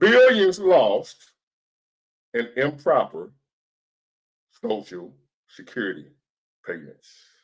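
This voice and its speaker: A man at a very slow pace, broken by long, frequent pauses. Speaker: livestream host. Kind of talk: casual livestream commentary. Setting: live stream. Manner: animated.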